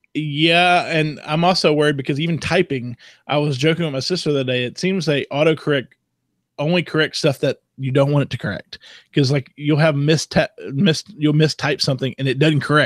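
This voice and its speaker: Fairly quick, fairly high male speech with a Southern US accent and fairly even intonation, in a very clean recording with a silent background and a dry, close sound with no echo. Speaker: tech podcast co-host. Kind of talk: casual chat.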